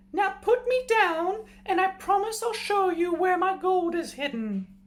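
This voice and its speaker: Putting on a character voice, a man talks at a moderate pace, squeaky and at an extremely high pitch. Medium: read story. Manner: crafty.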